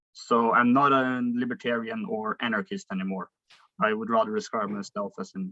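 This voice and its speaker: A man with a Norwegian accent at a fairly quick pace, the sound dry and close with no echo. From Norway. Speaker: philosophy student. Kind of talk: debate. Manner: halting.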